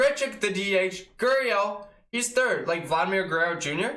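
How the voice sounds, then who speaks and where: At a moderate pace, a raised, projected voice with a bright, sharp tone carries through audible room echo. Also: man. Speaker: sports fan youtuber. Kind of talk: casual sports recap. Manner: enthusiastic; casual, filler-heavy.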